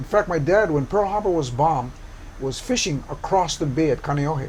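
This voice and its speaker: A fairly high-pitched man speaks with lively intonation at a moderate pace, noticeable background noise present throughout. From Hawaii, Oahu (Kalihi). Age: 70s. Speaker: community activist. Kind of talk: interview.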